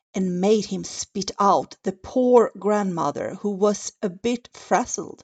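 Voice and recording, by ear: A natural voice reads text aloud. Little sound comes from the surroundings.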